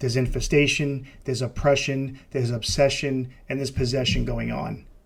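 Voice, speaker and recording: Over a very clean recording with a silent background, a man speaks with an American accent at a moderate pace. His medium-pitched voice is somewhat breathy. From New York City. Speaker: podcast host, deliverance minister, retired police officer. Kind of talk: casual podcast monologue. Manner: halting, many fillers and repetitions.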